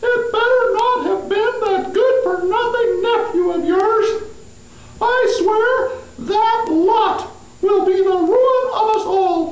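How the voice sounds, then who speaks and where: A female-sounding cartoonish character voice speaks in an extremely high pitch at a fairly slow pace. A slight echo is audible. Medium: puppet. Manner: sarcastic, complaining.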